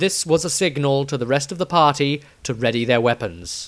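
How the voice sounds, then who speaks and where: A man with a British accent. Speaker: audiobook narrator. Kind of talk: literary audiobook reading of fantasy fiction. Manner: measured, dramatic storytelling pace.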